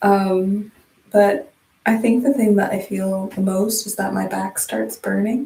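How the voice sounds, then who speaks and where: Calm and soft-spoken, a woman talks with fairly even intonation. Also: medium pitch for a woman, fairly slow pace. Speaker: livestreamer doing hair. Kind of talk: casual livestream chat. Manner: calm, low-key.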